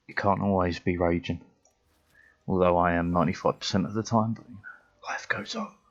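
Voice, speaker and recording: Very deep and low, a man's voice moves at a fairly quick pace with fairly even intonation. His loudness swings widely, and long pauses come often. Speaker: gaming streamer. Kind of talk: casual live stream chat.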